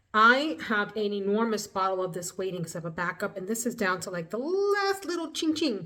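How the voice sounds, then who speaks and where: Speaking at a fairly quick pace with hardly any pauses, a woman at medium pitch uses lively intonation over noticeable background noise. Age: 40s. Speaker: beauty YouTuber. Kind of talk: casual get-ready-with-me vlog. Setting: at home.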